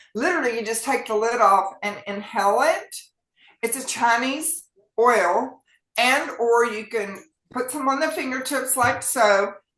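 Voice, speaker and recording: A woman speaks in a Southern US accent. Her voice is high-pitched and her pace fairly slow. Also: ordinary pitch variation. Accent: US South. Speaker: physician. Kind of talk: health talk show. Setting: online meeting.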